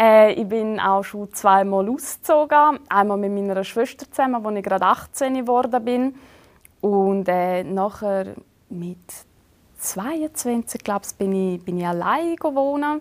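With a strong Swiss German accent, a woman speaks very slowly at a medium pitch, her intonation lively and her loudness swinging widely. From Switzerland. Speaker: reality TV bachelorette and TikToker. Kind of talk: casual interview. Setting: studio.

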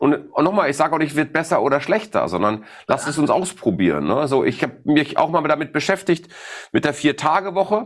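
This man's voice sits fairly high and carries vocal fry. His intonation is lively, and his loudness stays very even. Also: fairly quick pace. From Ruhr area, Germany. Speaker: sales expert. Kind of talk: interview. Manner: direct.

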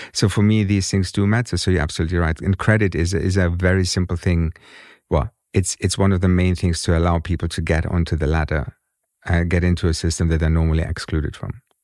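A man's very deep, low voice at a very fast pace, with fairly even intonation, on a very clean recording with a silent background. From Germany. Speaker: fintech consultant and award jury member. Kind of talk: interview. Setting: studio.

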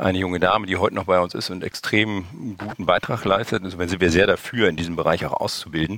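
A man at a very fast pace, with very deep, low pitch and ordinary pitch variation. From northern Germany (Hamburg). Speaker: e-commerce company founder. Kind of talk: interview.

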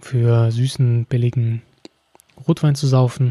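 There is a somewhat breathy quality and a dark, mellow tone to this man's voice. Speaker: wine podcast host. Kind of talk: solo educational podcast. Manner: frequent filler hesitations.

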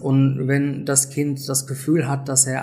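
Very slow in pace, the speech comes out somewhat breathy. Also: man. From Great Britain. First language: English (speaking German). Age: 50s. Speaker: self-help group leader. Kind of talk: interview.

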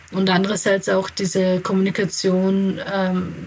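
A woman with an Austrian accent speaks at a medium pitch. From Austria (Graz), from age eight; born in Kabul. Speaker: integration adviser and founder of an aid association. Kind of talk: interview. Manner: hesitant, many fillers.

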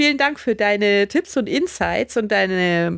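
Very wide pitch swings from a woman, delivered fairly slowly. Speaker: podcast host. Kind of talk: interview.

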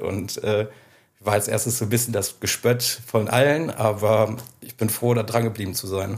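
A man has an unremarkable speaking voice at medium pitch. His pace is moderate and his intonation fairly even. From Germany, Südwestfalen. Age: 30s. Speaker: record label owner. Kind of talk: interview. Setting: in person at the label office.

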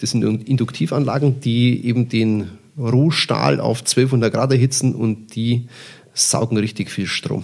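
At a fairly slow pace, a man speaks in an ordinary speaking voice with medium pitch and ordinary pitch variation. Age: 50s. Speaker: purchasing manager. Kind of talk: interview. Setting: on site at a company.

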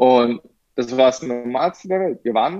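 A man's voice has a dark, mellow tone at a medium pitch. He speaks at a moderate pace with ordinary pitch variation. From Germany. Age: 20s. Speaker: professional golfer. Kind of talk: interview. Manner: hesitant with many fillers.

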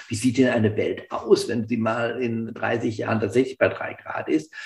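A somewhat breathy man speaks at medium pitch. His pace is moderate. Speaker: professor and risk researcher. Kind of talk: expert panel discussion.

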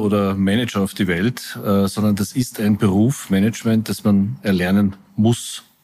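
A man speaks at a moderate pace with hardly any pauses. His voice is fairly low in pitch, with a dark, mellow tone. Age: 60s. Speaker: company executive. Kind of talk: interview.

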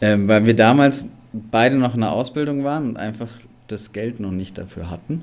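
This man has a normal speaking voice, medium in pitch with ordinary variation, delivered at a moderate pace with big swings in loudness. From Allgäu, southern Germany. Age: 30s. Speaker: photographer and videographer, camper. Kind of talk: podcast interview.

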